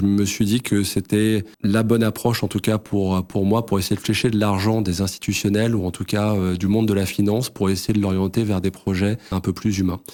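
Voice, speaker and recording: A man with a fairly low voice talks rather quickly, his intonation flat and monotone. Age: 30s. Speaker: real estate fund executive. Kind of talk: interview. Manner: hesitant, many fillers.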